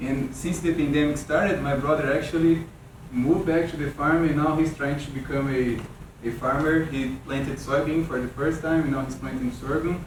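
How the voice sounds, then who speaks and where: Moderate-paced, fairly even speech in a Brazilian Portuguese accent, with audible room echo and noticeable background noise. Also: man, fairly high pitch for a man. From Brazil, São Paulo state. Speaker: weed scientist, extension specialist. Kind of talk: workshop lecture. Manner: halting, with repetitions.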